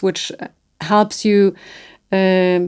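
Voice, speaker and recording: A woman's very slow, medium-pitched speech in a non-native accent, with fairly even intonation. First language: not English. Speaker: real estate executive. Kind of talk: interview.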